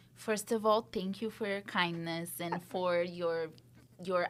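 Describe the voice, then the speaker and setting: In a very clean recording with a silent background, a woman with a Brazilian accent speaks at a fairly low pitch in a monotone, flat way. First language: Portuguese. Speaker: real estate agent. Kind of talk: interview answer.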